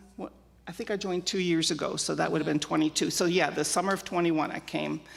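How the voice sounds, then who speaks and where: Speaking very fast with an American accent, a woman uses a fairly low pitch, fairly even intonation, and vocal fry. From Germany, emigrated to US at age 5. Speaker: church member sharing life story. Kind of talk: interview testimony. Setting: church with live audience. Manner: loud.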